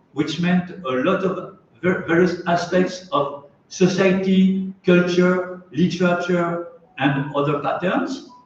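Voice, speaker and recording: In a French accent, the speaker talks at a very slow pace with ordinary pitch variation and an audible room echo. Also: man. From France. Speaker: anthropologist and Telugu scholar. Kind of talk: conference talk. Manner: halting, many fillers.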